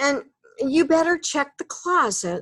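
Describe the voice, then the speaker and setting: A woman puts on a character voice, pitched extremely high and delivered fairly slowly. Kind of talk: bedtime story. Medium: read story. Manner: gruff, grumbly.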